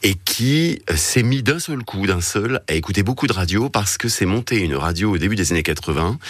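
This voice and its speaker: A man with a fairly low pitch speaks in a normal speaking voice at a moderate pace, his intonation lively. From Paris region. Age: 40s. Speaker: radio program director. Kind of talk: casual chat.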